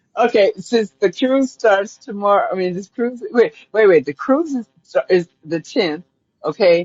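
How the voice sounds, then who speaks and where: Her fairly high voice makes very wide pitch swings. The woman talks at a fairly slow pace. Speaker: caller. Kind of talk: casual chat. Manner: halting.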